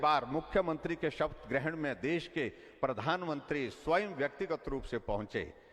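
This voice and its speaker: Here a man speaks in a plain, everyday voice. His pitch is fairly high, with ordinary pitch variation. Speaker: politician, state chief minister. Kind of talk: public political speech. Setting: outdoor public rally, PA system.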